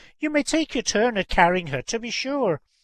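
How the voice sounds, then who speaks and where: A put-on character voice at a fairly high pitch speaks at a moderate pace over a quiet background. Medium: read story.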